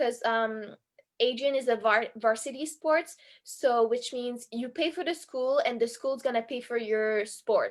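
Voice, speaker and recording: A high-pitched woman with a French accent is heard on a very clean recording with a silent background. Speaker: college synchronized skater. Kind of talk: casual talk on a video stream.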